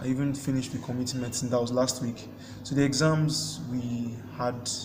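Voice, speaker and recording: Amid audible room echo and noticeable background noise, a man at a medium pitch speaks in a monotone, flat intonation. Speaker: medical student vlogger. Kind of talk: casual vlog monologue.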